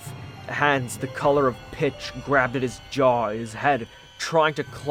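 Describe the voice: The passage is simply read out, its intonation staying fairly level.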